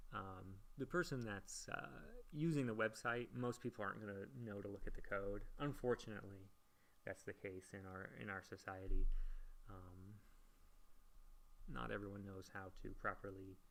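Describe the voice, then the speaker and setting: A man speaks at a moderate pace with long, frequent pauses. His pitch is fairly low, with ordinary variation. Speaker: college instructor. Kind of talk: live-streamed lecture. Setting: live stream. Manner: hesitant, many fillers.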